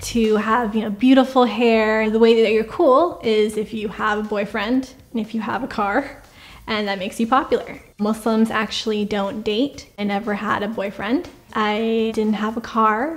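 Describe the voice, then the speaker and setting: A woman with an unremarkable speaking voice speaks in a General American accent at a fairly high pitch. Her intonation is fairly even. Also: moderate pace. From California, USA. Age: 20s. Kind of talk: interview answer.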